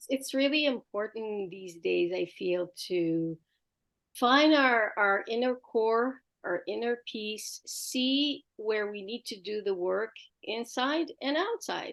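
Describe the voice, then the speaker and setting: A woman speaks with an Israeli accent at a very slow pace, her pitch fairly high and her intonation lively. Her loudness swings widely against a quiet background. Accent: Israeli accent, mistaken for Quebec French. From Israel (Jerusalem). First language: Hebrew. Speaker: art teacher and homeschooling educator. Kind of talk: interview conversation.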